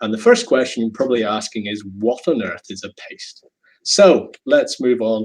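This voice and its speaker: The speaker talks at a fairly slow pace in a Northern Irish accent. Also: man. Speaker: chemical engineering professor. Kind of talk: lecture. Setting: video call.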